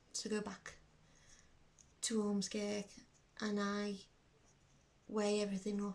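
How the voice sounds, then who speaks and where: A woman speaks at a medium pitch in a Liverpool accent. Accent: Scouse. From Liverpool, England. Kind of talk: personal video diary talk to camera.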